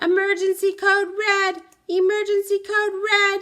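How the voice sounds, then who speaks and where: A put-on character voice, squeaky yet gruff and extremely high-pitched, comes at a moderate pace with monotone, flat intonation. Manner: alarmed, urgent.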